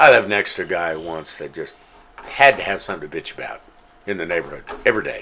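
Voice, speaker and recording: A man talks at a very fast pace with big swings in loudness, over noticeable background noise. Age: 50s. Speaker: podcast co-host. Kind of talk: casual chat.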